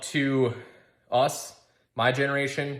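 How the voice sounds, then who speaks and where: A man in an American accent speaks amid audible room echo. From Minnesota. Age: 30s. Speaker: outdoors company founder. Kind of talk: recorded video message. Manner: halting, with many fillers.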